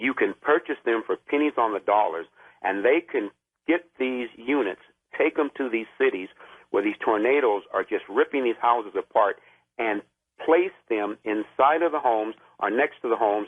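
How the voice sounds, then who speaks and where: Ordinary pitch variation and a moderate pace from a man at medium pitch. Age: 60s. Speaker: caller, military veteran. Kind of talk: call-in radio talk. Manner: halting, many fillers.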